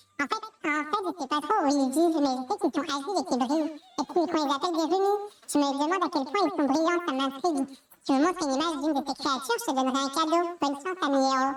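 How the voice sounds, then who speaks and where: A put-on character voice, high-pitched, at a very fast pace. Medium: game stream. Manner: excitable, repetitive.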